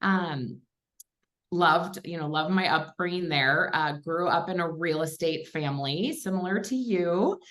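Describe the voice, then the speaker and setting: A woman with a Minnesotan accent and a fairly low pitch. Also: ordinary pitch variation, moderate pace. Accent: Minnesota. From Minnesota, western suburbs of Minneapolis. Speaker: commercial real estate investor and coach. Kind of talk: casual interview chat. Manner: conversational with many fillers.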